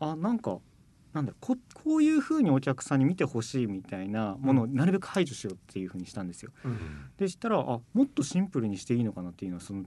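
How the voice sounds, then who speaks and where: Against a quiet background, a man with a dark, mellow tone races along at a very fast pace and medium pitch. His pitch swings very widely and his loudness shifts a lot. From Japan, Kumamoto (Aso). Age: 30s. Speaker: contemporary dancer. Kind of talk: radio interview. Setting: radio studio.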